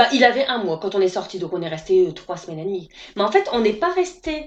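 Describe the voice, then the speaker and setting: A woman at a medium pitch with a northern French accent, lively intonation, a very fast pace and big swings in loudness, over noticeable background noise. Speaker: naturopath. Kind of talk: interview answer. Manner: casual, hesitant.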